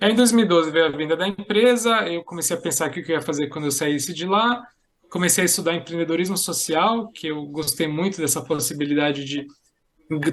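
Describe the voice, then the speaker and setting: This man's voice is fairly high, with ordinary pitch variation and a fairly quick pace. The background is quiet. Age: 40s. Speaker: social entrepreneur and software engineer. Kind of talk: podcast interview.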